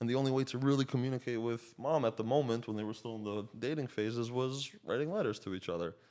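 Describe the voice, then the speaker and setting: Speaking at a very fast pace with hardly any pauses, a man with a slight Slovak accent uses a dark, mellow tone at a medium pitch with ordinary pitch variation over a quiet background. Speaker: coach and realtor. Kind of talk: podcast conversation.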